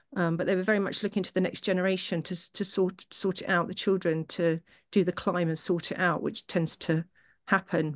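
Against a quiet background, a woman with a fairly low pitch speaks with fairly even intonation. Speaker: participant in spiritual study group. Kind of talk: group discussion. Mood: calm, reflective. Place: home room. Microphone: video call.

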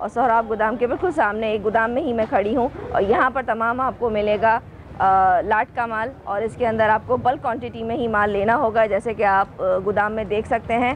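Light background noise sits behind a woman's voice. She speaks at a moderate pace with fairly even intonation. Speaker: vlogger. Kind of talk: casual vlog chat. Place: factory. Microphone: phone near.

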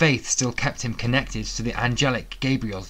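The pitch moves in an ordinary way. It's plain reading aloud.

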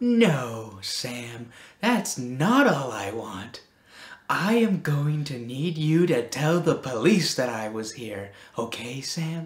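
A very slow delivery at a low-to-middle pitch

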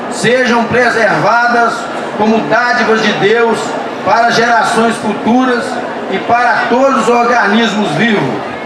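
Amid audible room echo and noticeable background noise, a man speaks at a very slow pace. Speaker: event reader. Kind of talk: formal declaration read aloud. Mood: solemn, earnest. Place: stage.

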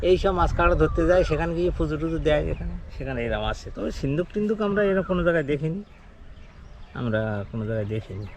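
A man speaks at a fairly high pitch. His voice swings very widely in pitch. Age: old. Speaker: fisherman and crab catcher. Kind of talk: interview testimony.

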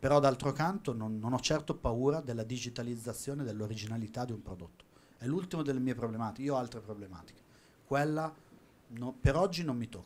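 Very fast speech from a man at medium pitch, with ordinary pitch variation and big swings in loudness. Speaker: auction house watch specialist. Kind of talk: panel discussion.

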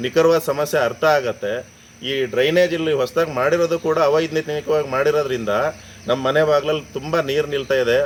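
A man with a fairly high voice and fairly even intonation talks over noticeable background noise. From Sagar, Shivamogga district, Karnataka. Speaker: local resident complaining. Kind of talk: public complaint to camera.

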